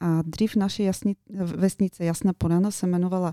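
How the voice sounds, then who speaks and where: In a Bulgarian accent, a woman speaks at a moderate pace with a fairly low pitch, a dark, mellow tone and fairly even intonation, recorded very cleanly with a silent background and dry, close sound with no echo. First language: Bulgarian (speaking Czech). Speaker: interior designer. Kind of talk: radio interview.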